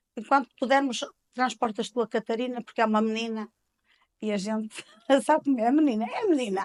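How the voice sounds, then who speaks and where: A woman speaks at a very fast pace with a fairly high voice. She leaves long, frequent pauses, and the sound is dry and close with no echo. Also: fairly even intonation. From Portugal, Penafiel area (north). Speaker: informal caregiver, mother. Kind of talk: interview, personal testimony.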